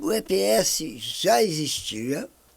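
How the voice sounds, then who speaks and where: Pitched fairly high, a man's voice makes very wide pitch swings. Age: 60s. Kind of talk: podcast interview. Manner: halting.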